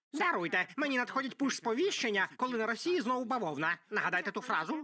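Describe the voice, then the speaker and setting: A put-on character voice, pitched fairly high. It races along at a very fast pace. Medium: fan dub. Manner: blunt, goofy.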